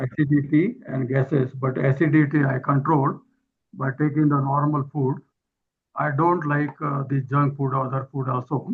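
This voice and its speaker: A man speaks with an Indian accent and fairly even intonation. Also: fairly high pitch for a man, moderate pace. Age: 70s. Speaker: webinar participant. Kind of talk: asking a question. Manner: halting.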